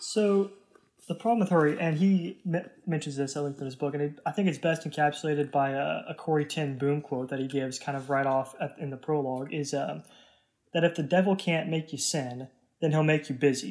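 An ordinary speaking voice from a man with an American accent, fairly high in pitch with ordinary pitch variation, in a very clean recording with a silent background. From Texas. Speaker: college student. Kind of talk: casual discussion.

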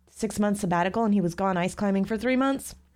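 A woman speaks with a dark, mellow tone. The recording is very clean, with a silent background. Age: 30s. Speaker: geologist and university instructor. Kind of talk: educational interview chat.

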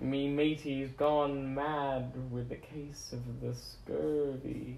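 A man speaks in a put-on character voice at a very slow pace. Background noise is clearly heard. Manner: mock, comedic.

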